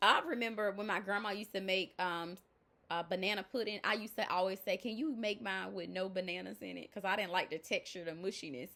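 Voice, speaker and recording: A loud, animated woman with a Southern US accent, medium pitch and vocal fry, at a fairly quick pace on a very clean recording with a silent background. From US South. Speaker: life coach. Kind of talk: motivational talk.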